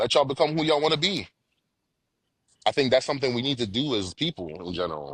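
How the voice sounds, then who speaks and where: Over a quiet background, a man at medium pitch talks very fast with vocal fry, very wide pitch swings, and long, frequent pauses. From Jamaica, moved to US around age six. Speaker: father sharing his parenting story. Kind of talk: casual podcast interview. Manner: casual, repetitive with frequent bro and false starts.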